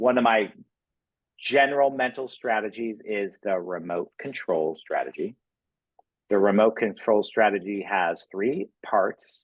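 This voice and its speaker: At a fairly slow pace, a man speaks in a fairly low pitch with ordinary pitch variation. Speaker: mental performance coach for cheer staff. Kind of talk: staff training talk. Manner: animated.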